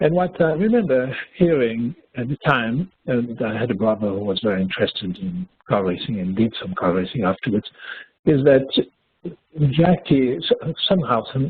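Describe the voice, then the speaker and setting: The speaker has a Swiss French accent and a moderate pace. The pitch swings very widely. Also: man, medium pitch for a man. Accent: noticeable Swiss French. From French-speaking Switzerland. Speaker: webinar co-presenter. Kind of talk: webinar presentation. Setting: webinar.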